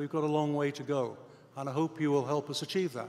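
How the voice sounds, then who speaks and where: In a Scottish accent, a man talks with a fairly high pitch. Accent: Scottish accent, noticeable. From Scotland. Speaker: university president. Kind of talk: commencement speech. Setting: stage with audience.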